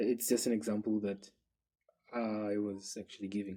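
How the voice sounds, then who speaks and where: In a dark, mellow tone, a man talks with a non-native accent. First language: not English. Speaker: programming tutor. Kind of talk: tutorial. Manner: halting, many fillers.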